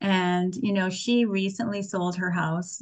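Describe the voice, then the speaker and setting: Her voice an unremarkable speaking voice, a woman talks at a moderate pace with a medium pitch. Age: 60s. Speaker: spiritual teacher. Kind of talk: sermon.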